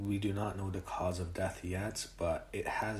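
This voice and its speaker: A man's very deep, low voice, somewhat breathy, at a fairly slow pace. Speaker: wrestling commentator. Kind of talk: casual talk to camera.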